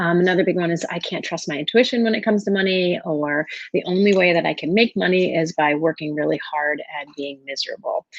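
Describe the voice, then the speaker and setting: A woman with a fairly low pitch talks very fast with hardly any pauses. Her pitch varies in an ordinary way. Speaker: life coach. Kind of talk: webinar presentation.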